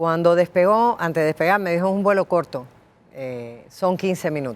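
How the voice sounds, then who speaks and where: With a Cuban accent, a woman talks at a moderate pace in a fairly low pitch, her intonation lively. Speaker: writer and former TV presenter. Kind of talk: interview storytelling.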